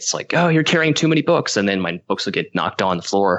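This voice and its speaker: With an American accent, this man talks. The rise and fall of his pitch is very wide. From US. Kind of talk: casual debate. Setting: phone call. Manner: halting.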